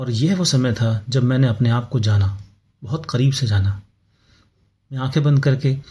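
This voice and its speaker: Recorded very cleanly against a silent background, a man speaks in a medium pitch with a somewhat breathy voice. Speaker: podcast host. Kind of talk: personal storytelling monologue. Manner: reflective, with pauses.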